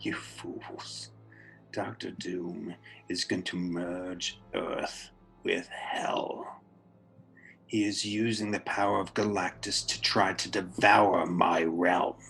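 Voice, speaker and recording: A man's put-on character voice, robotic and raspy, fairly low in pitch, at a very slow pace. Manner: menacing.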